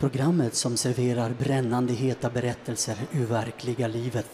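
Over light background noise, a man with medium pitch and monotone, flat intonation speaks at a moderate pace. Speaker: storyteller, actor, presenter. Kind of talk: radio program presenter intro. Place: studio. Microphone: handheld.

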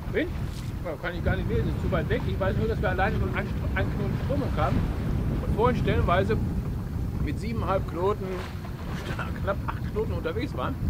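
Loud background noise surrounds this recording. Through it, a man talks at a fairly quick pace. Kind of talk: casual vlog chat. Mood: relaxed and content. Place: boat. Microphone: camera far.

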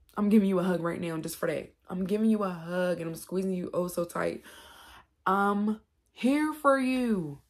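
Against a quiet background, a woman talks at a moderate pace and medium pitch with lively intonation. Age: 40s. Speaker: YouTube vlogger. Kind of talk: casual monologue to camera. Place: home room. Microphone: phone near.

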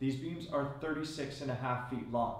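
There is audible room echo as a man talks at a moderate pace.

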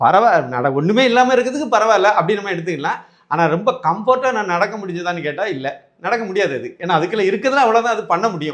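The man's voice sits high in pitch. He uses lively intonation. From Kanyakumari district, Tamil Nadu. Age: 50s. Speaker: amputee sharing prosthetic limb experience. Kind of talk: testimonial. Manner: conversational, halting.

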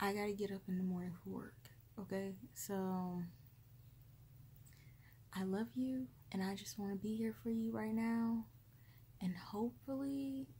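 Soft-spoken and somewhat breathy, a woman talks at a fairly slow pace in a gentle, dark, mellow tone, leaving long, frequent pauses. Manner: soft, gentle comforting ASMR voice. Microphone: phone near.

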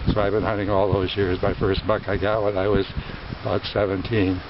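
Monotone and flat, a man's fairly low voice comes through dry with no echo amid noticeable background noise. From US Midwest, northern Wisconsin. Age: 90s. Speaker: hunter. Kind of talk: interview. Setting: outdoors. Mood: proud, nostalgic, cheerful.

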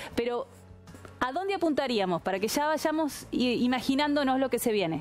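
A woman with lively intonation, faint music in the background

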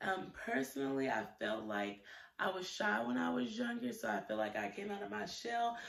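A woman at a moderate pace with very wide pitch swings and audible room echo. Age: 20s. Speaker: YouTuber, student; YouTuber. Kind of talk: casual vlog monologue; casual vlog chat. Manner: hesitant, many fillers. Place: home room. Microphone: phone near.

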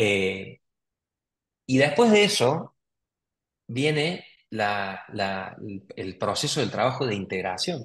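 In a Rioplatense accent, a man speaks at a very slow pace with lively intonation. Long, frequent pauses break up his speech. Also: medium pitch for a man. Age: 30s. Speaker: psychologist. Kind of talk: interview, explanatory. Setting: video call.

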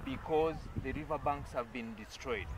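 A man speaks in a dry sound with no echo. Noticeable background noise is present. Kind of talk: on-site explanation to camera. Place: waterside. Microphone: phone near.

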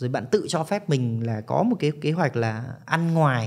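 Over a quiet background, the male speaker uses ordinary pitch variation. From Vietnam. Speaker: study-abroad consultant; podcast guest. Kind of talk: interview. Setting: studio. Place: studio. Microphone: studio mic.

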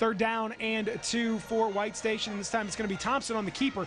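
A man with a high pitch talks at a fairly quick pace in an animated tone, with noticeable background noise behind him. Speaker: football play-by-play announcer. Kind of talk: live sports commentary over game highlights, calling each play as it happens. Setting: highlight video with clips from different game broadcasts. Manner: fast, animated play-by-play delivery, rising excitement on big hits and interceptions; clipped, rapid-fire play calls with occasional fillers.

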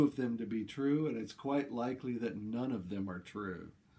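A dark, mellow male voice at a fairly slow pace. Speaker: presenter. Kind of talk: casual vlog chat. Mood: relaxed, wry storytelling. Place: home room. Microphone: camera far.

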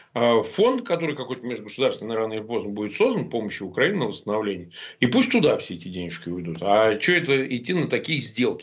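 This man talks at a very fast pace and a medium pitch. His pitch swings very widely over a quiet background. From Russia. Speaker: lawyer and opposition blogger; lawyer, opposition blogger. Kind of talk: interview. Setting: remote link. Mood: confident, argumentative. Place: home room. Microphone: webcam.

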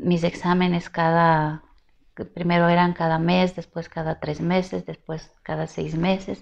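At a fairly slow pace, a woman speaks with monotone, flat intonation. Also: fairly low pitch for a woman. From Ecuador. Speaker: singer; interviewee. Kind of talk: interview. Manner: halting. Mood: reflective, personal. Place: home room. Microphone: lapel.

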